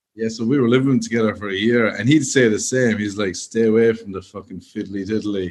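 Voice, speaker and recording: A man with a Cork accent, at a fairly quick pace with hardly any pauses. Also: medium pitch for a man, fairly even intonation. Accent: Cork Irish. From Ireland, Cork. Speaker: stand-up comedian. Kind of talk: casual chat.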